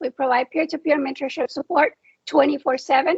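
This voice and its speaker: A woman speaks with a Spanish accent at a fairly quick pace. Her pitch is high. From Mexico. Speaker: nonprofit founder, military spouse. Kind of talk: panel discussion.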